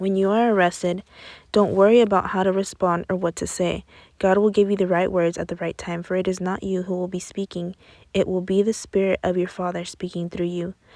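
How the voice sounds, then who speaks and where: A woman's quiet voice in a flat monotone at a fairly quick pace, in a very clean recording with a silent background. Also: medium pitch for a woman. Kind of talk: Bible reading. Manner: fast in places.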